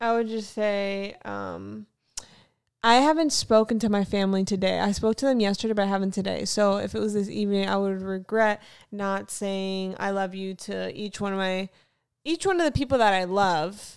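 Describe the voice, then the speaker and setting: A woman's ordinary speaking voice with an American accent, medium in pitch, at a moderate pace with ordinary pitch variation, on a very clean recording with a silent background. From Florida, US South (Fort Lauderdale), later North Carolina. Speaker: podcast co-host, artist. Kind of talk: casual chat.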